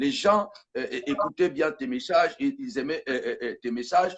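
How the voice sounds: Speaking at a fairly quick pace, a man lets his pitch vary in an ordinary way.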